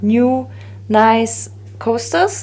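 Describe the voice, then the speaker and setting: A woman with a German accent, over noticeable background noise. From Germany, Bavaria. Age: 30s. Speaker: resin art crafter. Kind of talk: tutorial. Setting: home, sunny flat. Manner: halting, many fillers.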